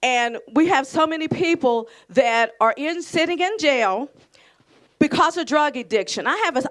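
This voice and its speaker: Loud and high-pitched, a woman with an American accent swings her pitch very widely on a very clean recording with a silent background. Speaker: audience member. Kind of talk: testimony. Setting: community event with audience. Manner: halting.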